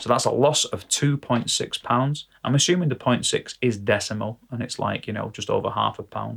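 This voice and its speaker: A man with a British accent talks at a moderate pace with hardly any pauses. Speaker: vlogger and gigging musician. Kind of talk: casual vlog monologue. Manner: hesitant, many fillers.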